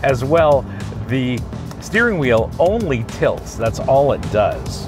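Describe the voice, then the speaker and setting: Clear music plays in the background while a man speaks. The sound is dry with no echo. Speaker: car reviewer. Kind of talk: review commentary. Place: car.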